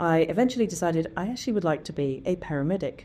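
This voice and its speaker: In an English accent, a woman talks at a very fast pace with a fairly low pitch and a dark, mellow tone. The recording is very clean, with a silent background. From southern England. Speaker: biotech CEO. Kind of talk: interview. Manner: hesitant, many fillers.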